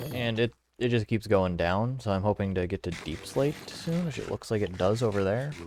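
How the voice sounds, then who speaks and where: Ordinary pitch movement from a man, with noticeable noise in the background. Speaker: gaming let's-play creator. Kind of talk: gameplay commentary. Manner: casual, halting with fillers. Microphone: recording sounds quieter than in person.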